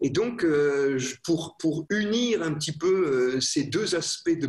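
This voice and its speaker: A man's high-pitched voice. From France. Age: young. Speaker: priest, physician and professor. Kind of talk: interview about faith and medicine.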